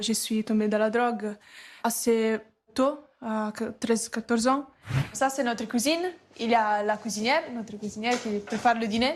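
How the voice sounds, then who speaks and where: In an Italian accent, a woman talks with fairly high pitch and fairly even intonation. Her speech has long, frequent pauses. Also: moderate pace. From Italy. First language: Italian (speaking French). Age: 20s. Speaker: recovering addiction community resident. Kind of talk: testimony.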